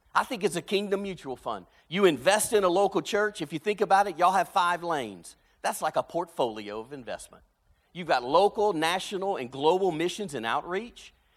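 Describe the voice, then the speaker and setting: A man with a Louisiana accent speaks at a high pitch and a fairly quick pace with lively intonation. His loudness swings widely on a very clean recording with a silent background. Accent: Cajun Southern US. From South Louisiana, Cajun. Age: 50s. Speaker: pastor. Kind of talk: sermon. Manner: animated.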